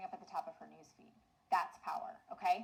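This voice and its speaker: A woman at a fairly quick pace, with very wide pitch swings. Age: 40s. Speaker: online business coach. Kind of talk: webinar training. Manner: fast; animated.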